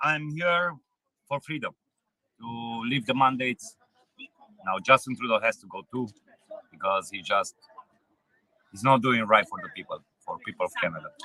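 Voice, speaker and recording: A man with a Romanian accent speaks at a moderate pace, leaving long, frequent pauses. His loudness swings widely, and the sound is dry and close with no echo. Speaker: truck driver. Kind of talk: street interview. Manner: halting.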